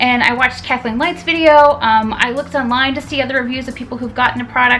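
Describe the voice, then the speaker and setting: A woman talks at a very fast pace over music in the background. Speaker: beauty YouTuber. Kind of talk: casual talk to camera. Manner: stuttering.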